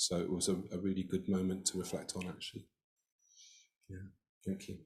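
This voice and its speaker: Somewhat breathy, the voice moves at a fairly quick pace in a monotone, flat intonation. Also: man, very deep, low pitch for a man. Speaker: military officer, retreat participant. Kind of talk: sharing reflection in group discussion. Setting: video call. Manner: hesitant, many fillers.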